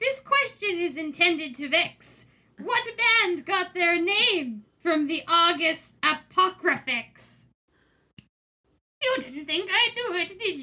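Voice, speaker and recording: Her pace is fairly slow. The woman puts on a character voice at an extremely high pitch. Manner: theatrical, vexing quiz host.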